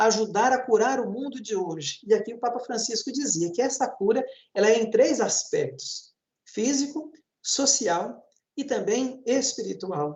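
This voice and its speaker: A man speaks in an extremely high voice. His pitch varies in an ordinary way. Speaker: priest. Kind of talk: panel talk on church campaign.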